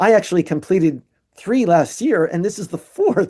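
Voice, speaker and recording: The speaker has a New Jersey accent. The tone is dark and mellow. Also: man. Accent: American (New Jersey). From US, New Jersey. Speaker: musician and artist. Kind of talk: casual chat. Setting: video call. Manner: fast.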